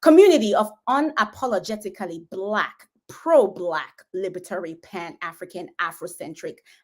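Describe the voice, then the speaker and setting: A woman with a Nigerian accent speaks at a moderate pace. Her tone is animated and her intonation lively. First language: Igbo. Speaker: physician and roundtable host. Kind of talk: livestream host introduction. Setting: online livestream and Twitter Space.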